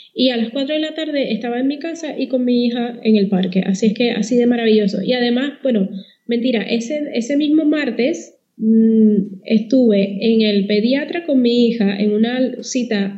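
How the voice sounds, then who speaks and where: A high-pitched woman with a Puerto Rican accent, at a moderate pace with ordinary pitch variation. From Puerto Rico. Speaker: communications consultant. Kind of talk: podcast interview.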